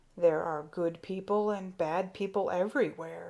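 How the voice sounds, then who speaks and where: A woman growls in a put-on character voice at medium pitch, moderate pace and with fairly even intonation. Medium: read story. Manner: calm, grave, good-humored.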